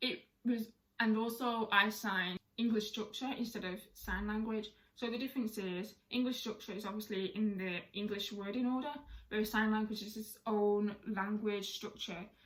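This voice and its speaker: A woman with a British accent speaks at a moderate pace and a fairly high pitch. Her voice is somewhat breathy, with monotone, flat intonation. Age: 20s. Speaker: deaf sign language content creator. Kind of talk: casual talk to camera.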